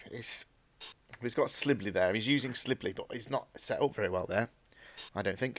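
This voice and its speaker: A man keeps an average speaking speed. Long pauses come often in his speech. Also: very clean recording, silent background. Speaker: game stream commentator. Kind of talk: live commentary. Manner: monotone.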